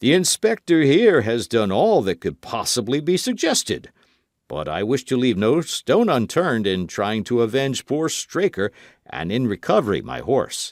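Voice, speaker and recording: A man uses a put-on character voice at a medium pitch with very wide pitch swings. The recording is very clean with a silent background and a dry, close sound with no echo. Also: moderate pace. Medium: read story. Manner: brisk, formal.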